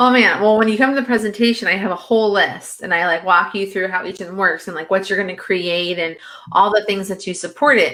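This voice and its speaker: Over noticeable background noise, a woman talks very fast in an animated tone, medium in pitch with ordinary pitch variation. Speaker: social media marketing consultant. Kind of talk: interview.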